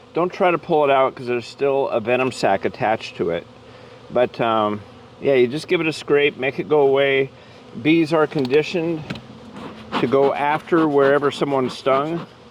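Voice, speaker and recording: Over noticeable background noise, a man speaks in a relaxed tone at a moderate pace, with a fairly high pitch and ordinary pitch variation. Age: 60s. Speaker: beekeeper. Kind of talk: casual tutorial. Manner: relaxed, hesitant with fillers.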